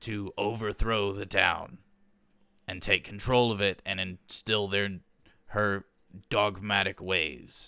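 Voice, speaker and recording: A raspy, put-on character voice from a man, fairly low in pitch, at a fairly slow pace with long, frequent pauses. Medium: actual play. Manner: earnest, formal.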